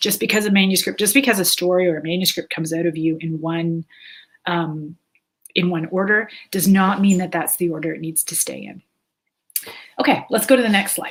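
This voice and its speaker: A woman with a Canadian accent talks at a fairly quick pace in a fairly low pitch. Her pitch varies in an ordinary way while her loudness swings widely. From Canada. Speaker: author and writing teacher. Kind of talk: webinar lecture. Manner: halting, many fillers.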